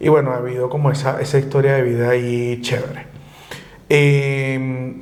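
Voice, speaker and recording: With a slight Maracaibo accent, a man speaks at a moderate pace in a monotone, flat intonation, amid noticeable background noise and audible room echo. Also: medium pitch for a man. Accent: slight Maracaibo (maracucho) touch. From Venezuela, Valencia (Carabobo). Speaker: lawyer, exile. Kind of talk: interview conversation.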